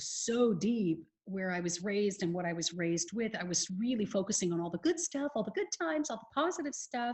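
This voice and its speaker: With an American accent, a woman talks at a fairly quick pace in a somewhat breathy voice of medium pitch. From California, USA. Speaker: life coach. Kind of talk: podcast interview answer.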